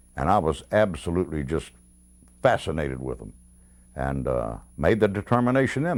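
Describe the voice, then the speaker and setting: A man speaks in a Mississippi accent at a fairly quick pace, with vocal fry and very wide pitch swings. The recording is very clean, with a silent background. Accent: Southern US (Mississippi). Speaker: retired sports radio announcer. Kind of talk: interview reminiscence. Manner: halting, many fillers.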